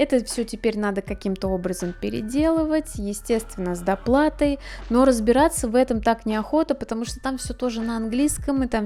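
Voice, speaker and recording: Over music in the background, a woman speaks at a moderate pace with a fairly high pitch and ordinary pitch variation. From Russia. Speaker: art blogger. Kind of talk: casual vlog monologue.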